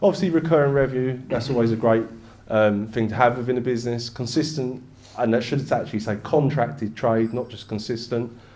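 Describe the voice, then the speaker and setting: Spoken at a fairly quick pace with an East London accent and ordinary pitch variation, the voice has audible room echo around it. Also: man. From England, East London. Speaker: business broker. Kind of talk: presentation. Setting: stage with audience. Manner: casual, conversational.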